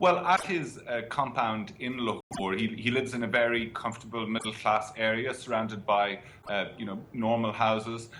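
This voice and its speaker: Against noticeable background noise, a man talks at a moderate pace in a medium pitch with ordinary pitch variation. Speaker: foreign correspondent. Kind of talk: interview answer.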